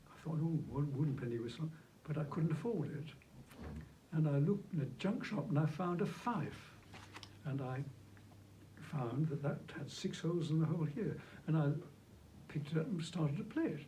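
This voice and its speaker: Amid audible room echo, a man with a fairly high voice speaks with ordinary pitch variation and long, frequent pauses. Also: moderate pace. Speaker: flautist and movement technique teacher. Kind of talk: interview conversation.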